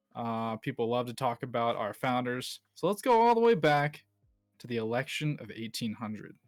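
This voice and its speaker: Music plays in the background. A man with an American accent talks at a medium pitch. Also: ordinary pitch variation, moderate pace, big swings in loudness. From USA. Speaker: history buff. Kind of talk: casual chat.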